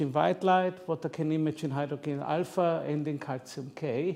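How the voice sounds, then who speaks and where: A man with an Austrian accent speaks at a fairly slow pace in a fairly high pitch with a dark, mellow tone and ordinary pitch variation. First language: German. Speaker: psychiatrist and amateur astrophotographer. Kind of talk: presentation talk.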